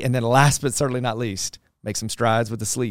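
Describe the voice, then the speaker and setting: A man with an energetic tone and a medium pitch talks at a very fast pace with ordinary pitch variation. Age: 40s. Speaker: pastor and leadership podcast host. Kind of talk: casual podcast chat. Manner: loud and energetic.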